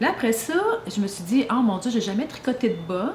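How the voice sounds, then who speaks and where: Amid noticeable background noise and audible room echo, a woman with a fairly high voice speaks at a fairly quick pace with lively intonation. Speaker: podcast co-host. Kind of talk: casual chat.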